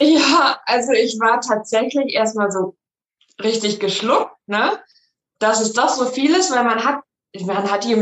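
An unremarkable speaking voice, fairly slow, its pitch varying in an ordinary way. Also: woman. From Germany, Münsterland (Rosendahl near Coesfeld). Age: 20s. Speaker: bra fitting studio franchisee. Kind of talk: casual interview chat.

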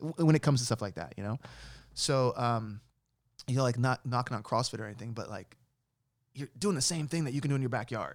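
A man with an American accent talks at a very fast pace and medium pitch, with ordinary pitch variation and long, frequent pauses. The recording is very clean, with a silent background. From New York City / Jersey City area. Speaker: musician. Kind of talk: casual interview.

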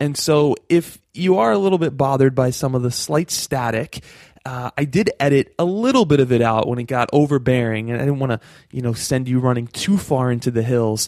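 At a fairly quick pace, a man talks in an animated, upbeat tone with ordinary pitch variation. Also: medium pitch for a man. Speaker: podcast host. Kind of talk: casual interview.

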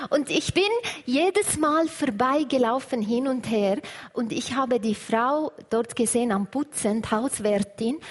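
Speaking at a very slow pace with an Arabic accent, a woman uses lively intonation at a high pitch over noticeable background noise. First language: Arabic (speaking German). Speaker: churchgoer sharing her story. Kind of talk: testimony. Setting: church service with congregation.

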